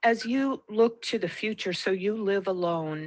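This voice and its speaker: This very clean recording has a silent background. A woman with an ordinary speaking voice talks at a fairly slow pace, with ordinary pitch variation. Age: 60s. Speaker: interviewer. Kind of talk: interview.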